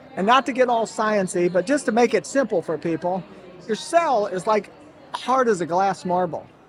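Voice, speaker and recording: Against noticeable background noise, a man with a high pitch speaks at a moderate pace in an animated tone with lively intonation. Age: 60s. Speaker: health company founder. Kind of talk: interview.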